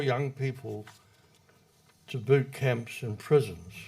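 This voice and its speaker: At a very slow pace, a man speaks at a medium pitch with ordinary pitch variation. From New Zealand. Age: 80s+. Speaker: retired public servant, speaker. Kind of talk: prepared speech read from notes. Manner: reading from notes.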